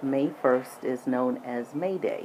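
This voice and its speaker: A woman with an American accent speaks with a very deep, low pitch. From US, military childhood incl. Germany. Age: 60s. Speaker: podcaster. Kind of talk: personal monologue. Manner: hesitant with fillers.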